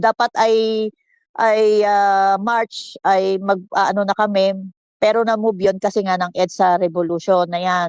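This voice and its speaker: The sound is dry and close, with no echo. A woman at medium pitch speaks at a fairly slow pace. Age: 60s. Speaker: political commentator. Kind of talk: casual chat. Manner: animated.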